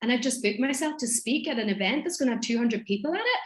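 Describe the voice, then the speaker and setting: A woman with a strong Irish accent speaks at a high pitch with lively intonation over noticeable background noise. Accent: thick Irish. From Ireland, Donegal. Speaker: business mentor and speaker. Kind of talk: podcast interview.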